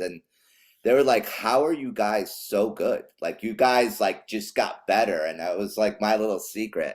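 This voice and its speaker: This man speaks at a medium pitch. His pace is moderate. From Chile, then USA (California, New Jersey). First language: Spanish. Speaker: pro skateboarder, comedian and actor. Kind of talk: casual chat.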